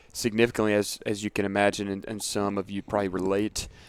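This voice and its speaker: A Southern US accent on a very clean recording with a silent background. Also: man. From US South, middle Georgia (Dublin). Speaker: fitness coach. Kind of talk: casual interview.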